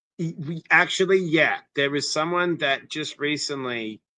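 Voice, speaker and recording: Speech unfolds at a moderate pace. Its tone comes across bright and sharp. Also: man. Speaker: interventionist, former TV personality. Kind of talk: interview, personal story. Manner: energetic, animated.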